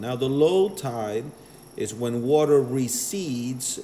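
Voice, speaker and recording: A man at a medium pitch and a very slow pace. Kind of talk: explanatory, teaching.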